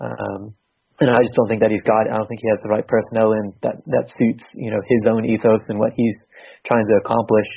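Speaking at a fairly quick pace in a New England accent, a man uses monotone, flat intonation with vocal fry. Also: fairly low pitch for a man. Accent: New England American. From Massachusetts, US. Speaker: football social media writer. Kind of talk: casual chat, football podcast.

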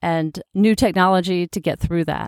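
At a moderate pace, a woman speaks in a normal speaking voice, fairly low in pitch, dry and close with no echo, on a very clean recording with a silent background. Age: 40s. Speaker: nurse practitioner and health coach podcast host. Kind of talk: solo podcast monologue.

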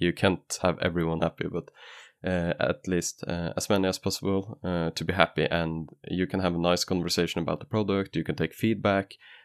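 With a Norwegian accent, a man with a very deep, low pitch talks at a fairly quick pace in a dry, close sound with no echo, on a very clean recording with a silent background. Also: fairly even intonation. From Norway. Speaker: keyboard maker and vendor. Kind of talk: interview.

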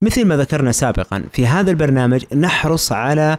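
With an unremarkable speaking voice, a man talks fairly slowly at a fairly high pitch with ordinary pitch variation, in a dry, close sound with no echo. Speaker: radio host. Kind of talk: interview.

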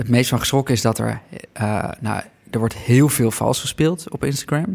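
A man's speech shows ordinary pitch variation at a medium pitch. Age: 30s. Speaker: documentary maker. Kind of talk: interview. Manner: halting, with many fillers and repetitions.

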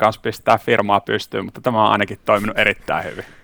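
A man's very fast speech in a dry, close sound with no echo. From Finland, Savo (Siilinjärvi). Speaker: workplace wellbeing coach and entrepreneur, former basketball player. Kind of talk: casual interview chat.

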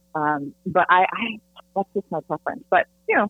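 A woman's fairly low-pitched voice with ordinary pitch variation, music in the background. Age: 50s. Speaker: dating coach and author. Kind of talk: interview.

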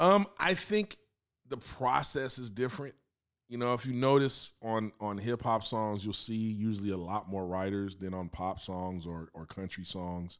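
With an American accent, a man speaks at a moderate pace and fairly low pitch with ordinary pitch variation, on a very clean recording with a silent background. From Los Angeles, US. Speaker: music producer and drummer. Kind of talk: casual interview. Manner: relaxed, laughing.

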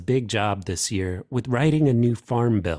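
A man uses an ordinary speaking voice at medium pitch, with lively intonation and a moderate pace. The sound is dry and close with no echo, on a very clean recording with a silent background. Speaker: news podcast host. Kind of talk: news reading, scripted morning briefing. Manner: formal, crisp, steady newsreader pace.

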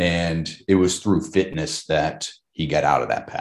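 His pitch is very deep and low. The man has an American accent. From South Carolina, Charleston. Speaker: military veteran. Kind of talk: interview. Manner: halting.

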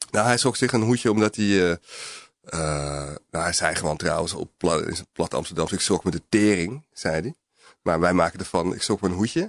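A man speaks at a moderate pace with a very deep, low pitch and ordinary pitch variation. The sound is dry and close with no echo. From North Holland, near Alkmaar. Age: 40s. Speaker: journalist. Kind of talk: interview. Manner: halting, many hesitations.

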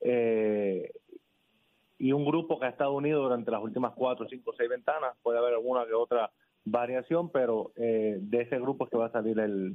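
Speech comes at a moderate speed. Its pitch shifts in an ordinary way. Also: man. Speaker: basketball federation president. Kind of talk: radio interview. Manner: halting.

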